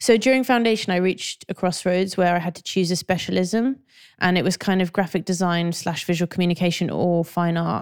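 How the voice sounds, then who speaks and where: A woman with a London accent speaks at a fairly quick pace and medium pitch with fairly even intonation, on a very clean recording with a silent background and a dry, close sound with no echo. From North London. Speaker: graphic designer and art director. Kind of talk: interview.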